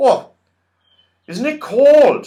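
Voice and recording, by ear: A put-on character voice with a dark, mellow tone, lively intonation and a very slow pace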